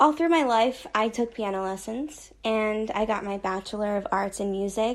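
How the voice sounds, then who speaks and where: A woman's ordinary speaking voice with an American accent, fairly high in pitch, at a moderate pace with ordinary pitch variation, against a quiet background. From United States. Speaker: electro pop musician. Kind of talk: self-introduction monologue.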